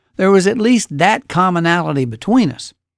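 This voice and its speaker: In an Alabama accent, a man talks at a moderate pace and a high pitch with very wide pitch swings, the sound dry and close with no echo. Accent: Southern US (Alabama). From Alabama, US South. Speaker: podcast host. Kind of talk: casual monologue.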